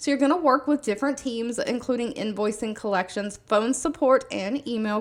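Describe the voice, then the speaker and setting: A fairly high-pitched woman's voice with a Southern US accent, on a very clean recording with a silent background. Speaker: YouTuber sharing remote job listings. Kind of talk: casual video monologue.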